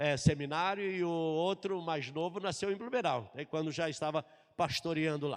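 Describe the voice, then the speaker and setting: A man at a fairly high pitch and a moderate pace with ordinary pitch variation, over a quiet background. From southern Brazil, Florianópolis, Santa Catarina. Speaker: pastor. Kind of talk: sermon.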